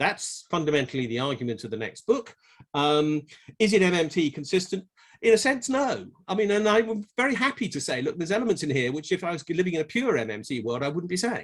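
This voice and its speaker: Very fast speech from a man with an English accent, vocal fry, and very wide pitch swings. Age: 60s. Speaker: tax economist. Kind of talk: conference talk. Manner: halting.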